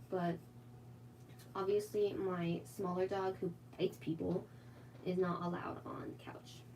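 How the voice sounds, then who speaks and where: With an American accent, a woman speaks with lively intonation and long, frequent pauses. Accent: very American. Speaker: artist streaming live drawing. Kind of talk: casual live stream chat while drawing. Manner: casual, many filler words; tries to enunciate clearly.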